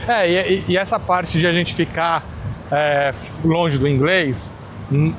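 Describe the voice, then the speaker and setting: A man with a high voice speaks at a fairly slow pace, using ordinary pitch variation and long, frequent pauses. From Brazil, São Paulo (born in Minas Gerais). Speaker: podcast host. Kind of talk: casual interview chat.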